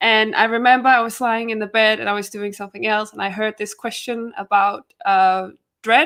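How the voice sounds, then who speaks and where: With a Danish accent, the voice has a bright, sharp tone at a moderate pace on a very clean recording with a silent background. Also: woman. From Denmark. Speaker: trivia competitor, rookie. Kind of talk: casual interview.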